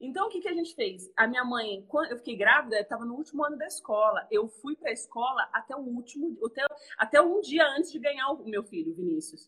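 The voice is bright and sharp, raised and projected, with very wide pitch swings. It moves at a fairly quick pace with hardly any pauses. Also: woman, high pitch for a woman. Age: 30s. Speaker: entrepreneur and mother. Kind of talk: casual chat.

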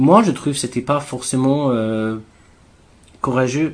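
Talking at a moderate pace, a man with an English accent keeps a medium pitch and fairly even intonation. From England. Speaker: activist. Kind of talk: interview. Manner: halting.

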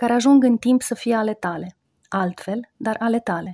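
Recorded very cleanly against a silent background with a dry, close sound and no echo, a woman with a fairly high voice and a dark, mellow tone speaks at a moderate pace with lively intonation. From Romania. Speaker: radio columnist. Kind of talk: scripted narration. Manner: reflective.

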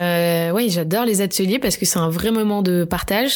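A plain, everyday voice from a woman, medium in pitch, at a fairly quick pace with ordinary pitch variation. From France, Bordeaux. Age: 20s. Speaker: pastry entrepreneur. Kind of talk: interview.

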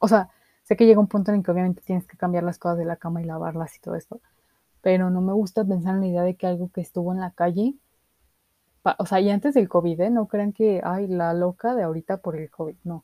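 At a very fast pace, a woman with a Mexican accent speaks in a dark, mellow, medium-pitched voice with fairly even intonation, the sound dry and close with no echo. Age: 20s. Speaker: podcast host. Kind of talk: casual monologue.

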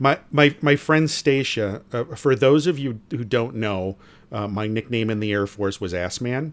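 The recording is very clean with a silent background. A man speaks in a normal speaking voice at medium pitch, fairly slowly, with ordinary pitch variation. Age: 50s. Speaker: podcast co-host, retiree. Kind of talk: casual chat.

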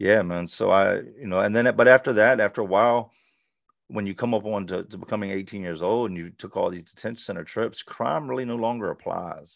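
Over a quiet background, a man with an American accent and a normal speaking voice talks at a fairly low pitch and a fairly quick pace, with ordinary pitch variation and big swings in loudness. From US South, Charlotte, North Carolina. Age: 40s. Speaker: former offender sharing life story. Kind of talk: interview testimony.

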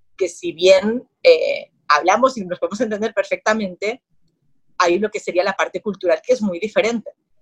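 Her fairly high pitch shows ordinary variation as this woman talks at a fairly quick pace broken by long, frequent pauses, in a dry, close sound with no echo. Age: 30s. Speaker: marketing agency founder. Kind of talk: interview.

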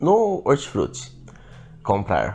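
The man's tone is dark and mellow. The background is quiet. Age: 20s. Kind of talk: casual chat. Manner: animated.

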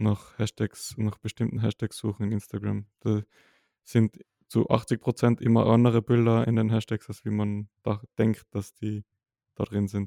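The voice has a dark, mellow tone and a Tyrolean accent, delivered at a fairly slow pace with monotone, flat intonation. The sound is dry and close, with no echo. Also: man, fairly low pitch for a man. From Austria, Tyrol. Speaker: podcast co-host, photographer. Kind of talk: casual chat.

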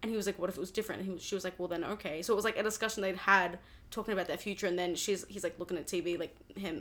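A woman with an Australian accent talks very fast. The recording is very clean, with a silent background. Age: 20s. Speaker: music student. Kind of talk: casual chat. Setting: studio.

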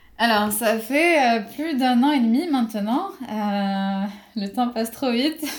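Over noticeable background noise, a woman talks at a very slow pace. Her fairly high voice has lively intonation. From Morocco. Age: 20s. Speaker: aerospace engineer. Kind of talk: interview. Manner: halting.

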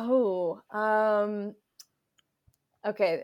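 On a very clean recording with a silent background, a woman speaks at a medium pitch with fairly even intonation. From US Midwest, Chicago suburbs. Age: 20s. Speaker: activist. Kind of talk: interview. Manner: calm, soothing.

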